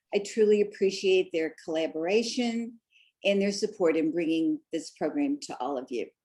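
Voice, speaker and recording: A woman at a medium pitch talks with a Missouri accent in a dark, mellow tone. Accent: Midwestern Missouri. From US Midwest, Missouri. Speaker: art museum docent, presenter. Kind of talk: lecture.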